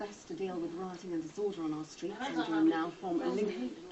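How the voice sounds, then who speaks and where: Someone talks at a fairly quick pace with ordinary pitch variation. Background noise is noticeable. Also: woman. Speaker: news presenter. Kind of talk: TV news interview. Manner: stern.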